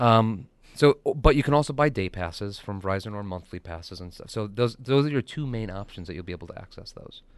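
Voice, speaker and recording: Talking at a very fast pace, a man uses lively intonation and big swings in loudness. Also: fairly low pitch for a man. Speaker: guest tech geek. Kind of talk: casual radio chat. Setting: radio studio.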